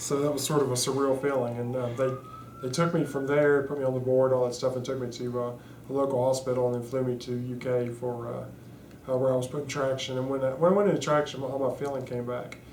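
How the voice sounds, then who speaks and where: Over noticeable background noise and audible room echo, a man talks at a very fast pace in a monotone, flat way at a medium pitch. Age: 30s. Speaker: spinal cord injury survivor. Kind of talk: interview testimony. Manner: halting, many fillers.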